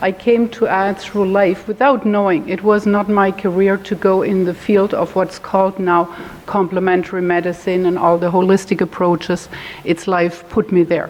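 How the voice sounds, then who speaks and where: Noticeable background noise sits behind a woman with a slight German accent. Her pitch is medium and her intonation is monotone and flat. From Germany. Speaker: holistic health educator. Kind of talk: talk to a support group; guided meditation. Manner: slow, calm.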